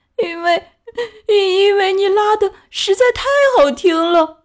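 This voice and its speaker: The pace is fairly slow. Someone is doing a put-on character voice. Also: woman, extremely high pitch for a woman. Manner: sobbing, choked with emotion.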